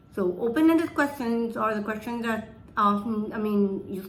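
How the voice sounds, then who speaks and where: Audible room echo surrounds this woman's voice. Her pitch variation is ordinary. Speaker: presenter giving a talk on communication. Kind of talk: presentation.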